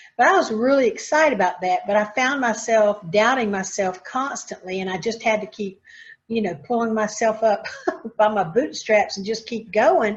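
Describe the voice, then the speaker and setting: Lively intonation runs through the delivery. There is a somewhat breathy quality to it. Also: woman, fairly high pitch for a woman, moderate pace. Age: 60s. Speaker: podcast host, retired credit union CEO. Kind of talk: podcast interview.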